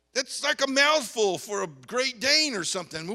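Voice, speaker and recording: A man speaks in a raised, projected voice with an extremely high pitch. His intonation is lively and his pace moderate. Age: 60s. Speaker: pastor. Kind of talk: sermon. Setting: church youth conference. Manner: animated.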